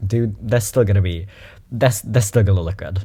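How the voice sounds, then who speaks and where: The voice has a dark, mellow tone and sounds somewhat breathy. It comes through on a very clean recording with a silent background. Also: man. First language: German. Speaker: YouTuber reacting to videos. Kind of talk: reaction video commentary. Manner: casual and animated.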